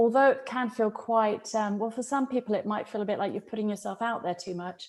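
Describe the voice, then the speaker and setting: A woman with a British accent speaks fairly quickly at a fairly high pitch, keeping her intonation fairly even. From UK. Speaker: professor of organizational psychology. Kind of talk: podcast interview.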